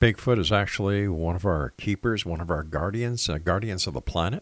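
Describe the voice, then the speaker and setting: In a Canadian accent, a man with an ordinary speaking voice and a fairly low pitch speaks with lively intonation, the sound dry and close with no echo. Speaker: radio host. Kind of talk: radio station announcer reading disclaimers and show promos, then interview. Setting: radio studio.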